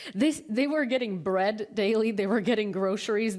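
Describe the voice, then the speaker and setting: Noticeable background noise sits behind this recording. A woman with a fairly high voice talks at a fairly quick pace. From Ukraine. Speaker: talk show host. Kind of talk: casual interview chat. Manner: animated.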